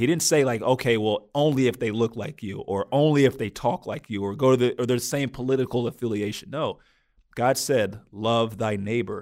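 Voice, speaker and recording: An unremarkable speaking voice from a man, medium in pitch with ordinary pitch variation, at a fairly quick pace in a very clean recording with a silent background. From eastern and southern US, moved often. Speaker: guest, former basketball player. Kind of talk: interview about race and faith. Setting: studio.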